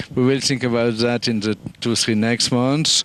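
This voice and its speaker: A man with a French accent talks at a moderate pace in a medium pitch, with fairly even intonation. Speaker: event organiser. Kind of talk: interview. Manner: halting, many fillers.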